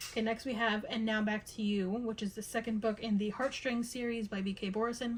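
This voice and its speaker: A woman with a fairly high pitch talks at a moderate pace in a monotone, flat intonation against noticeable background noise. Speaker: book vlogger. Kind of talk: casual vlog talk. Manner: halting, stumbling over words.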